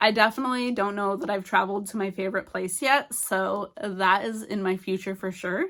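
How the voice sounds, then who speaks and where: A woman speaks in an ordinary speaking voice at medium pitch, with ordinary pitch variation and a fairly quick pace. The recording is very clean and the background silent. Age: 40s. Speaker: YouTuber, lifestyle vlogger. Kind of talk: casual motivational talk to camera. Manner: chatty, informal.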